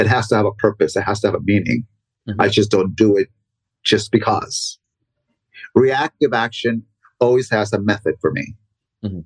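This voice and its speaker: The speech moves at a fairly quick pace, broken by long, frequent pauses. The voice is somewhat breathy, and the sound is dry and close with no echo. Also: man, ordinary pitch variation. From Mexico (Michoacan), raised in Los Angeles from age 9. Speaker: dancer and dance teacher. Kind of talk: casual interview conversation.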